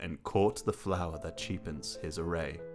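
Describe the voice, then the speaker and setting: Man speaking at a fairly slow pace, music in the background. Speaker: filmmaker. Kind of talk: poetry reading.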